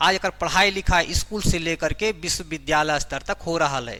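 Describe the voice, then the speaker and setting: A man with a Jharkhand accent speaks at a fairly high pitch, his tone bright and sharp and his pitch varying in an ordinary way. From Jharkhand, India. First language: Khortha (speaking Hindi). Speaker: teacher. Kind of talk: lecture.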